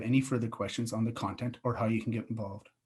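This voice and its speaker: A somewhat breathy man speaks at a very fast pace. The recording is very clean, with a silent background. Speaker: city infrastructure director. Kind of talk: conference presentation. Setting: virtual event.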